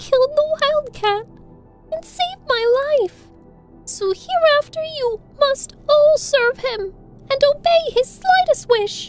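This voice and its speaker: A squeaky, female-sounding put-on character voice at an extremely high pitch moves at a fairly slow pace over faint music in the background. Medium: read story. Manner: small, bright, regal.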